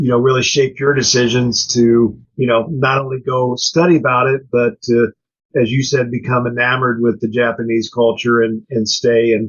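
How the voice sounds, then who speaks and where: This man, with an American accent, talks in a monotone, flat intonation at a medium pitch, his loudness very even and his voice somewhat breathy. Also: moderate pace. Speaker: podcast co-host. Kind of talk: interview.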